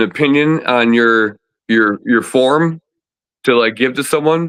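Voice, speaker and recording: A man speaks loudly at a fairly slow pace with an American accent. His medium pitch has ordinary variation and a bright, sharp tone. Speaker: disc golf player. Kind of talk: casual chat. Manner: animated.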